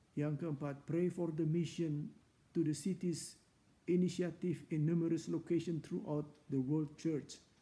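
A man's fairly high, dark, mellow voice, solemn and passionate in tone, fairly slow, with monotone, flat intonation and very even loudness. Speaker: church preacher. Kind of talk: fervent, heartfelt prayer in a devotional session, petitions to God. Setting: online church broadcast. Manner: earnest, pleading, solemn and passionate. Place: home room. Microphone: earbuds.

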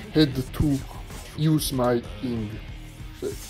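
A man's medium-pitched voice in a non-native accent, flat and monotone, with music in the background. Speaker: mobile game streamer. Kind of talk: casual gameplay commentary. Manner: casual, profane.

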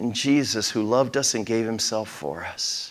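A man speaks at a fairly slow pace, with a quiet background behind him. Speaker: pastor. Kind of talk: sermon. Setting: church. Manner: conversational, folksy. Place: church. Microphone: lapel.

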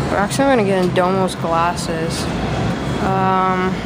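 Fairly slow speech under loud background noise. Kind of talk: casual vlog commentary. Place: shop. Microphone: phone near.

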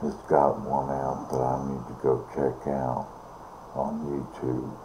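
A man speaks at a very slow pace in a very deep, low voice over noticeable background noise. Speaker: home vlogger. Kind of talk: casual vlog chat. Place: home room. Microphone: webcam.

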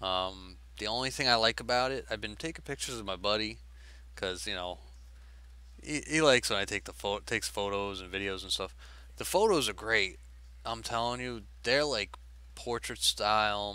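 A man with a fairly low pitch talks at a moderate pace, with long, frequent pauses and very wide pitch swings. His tone is bright and sharp, and the sound is dry with no echo. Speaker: tech vlogger. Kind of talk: casual vlog chat. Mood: mildly frustrated, casual. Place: home room. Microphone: headset.

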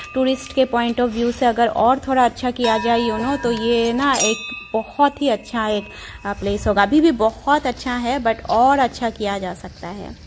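A woman's voice at a fairly slow pace, with ordinary pitch variation and music in the background. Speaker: travel vlogger. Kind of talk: casual vlog chat. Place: open country. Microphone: phone near.

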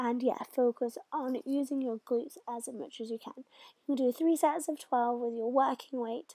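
A woman speaks high in pitch with a dark, mellow tone and fairly even intonation, the sound dry and close with no echo. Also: moderate pace. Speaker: personal trainer. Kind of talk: instructional workout voice-over.

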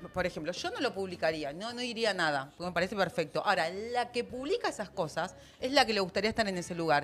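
Very fast speech from a woman, lively intonation, light background noise. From Argentina. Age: 30s. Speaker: panelist. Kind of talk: casual panel chat. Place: studio. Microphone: studio mic.

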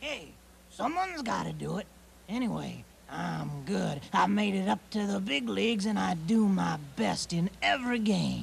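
A put-on character voice comes through with clear background noise behind it. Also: moderate pace. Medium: audio drama. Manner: brash, wisecracking.

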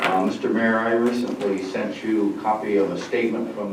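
Over noticeable background noise and audible room echo, a man talks at a fairly quick pace in a monotone, flat intonation. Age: 80s+. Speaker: public commenter at village board meeting. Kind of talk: public comment statement. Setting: village board meeting room with microphone. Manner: halting.

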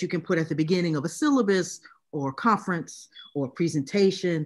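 A woman speaks at a moderate pace in a fairly low voice, with ordinary pitch variation against a quiet background. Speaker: literacy studies professor. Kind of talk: academic talk reading from notes. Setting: video call. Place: home room. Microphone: video call.

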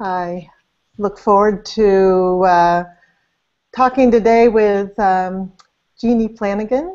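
Speaking very slowly, a woman uses ordinary pitch variation. The background is quiet. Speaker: interview host. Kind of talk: interview introduction. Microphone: video call.

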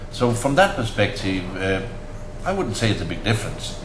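A man is speaking. Room echo is audible, along with light background noise. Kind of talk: interview answer. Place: office.

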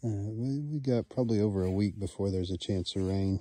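The recording is dry, with no echo, and a man's voice comes through somewhat breathy with a dark, mellow tone. He has a fairly low pitch and keeps a moderate pace. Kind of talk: casual vlog chat. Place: garden. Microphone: phone near.

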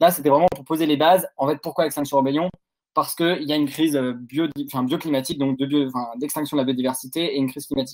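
Against a quiet background, a man with a fairly high voice talks very fast. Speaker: activist video host. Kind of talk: panel discussion. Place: home room.

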